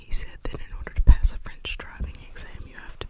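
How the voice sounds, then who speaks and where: Whispering, a woman can be heard against noticeable background noise. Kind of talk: ASMR whispered rambling to camera. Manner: whispered, soft-spoken.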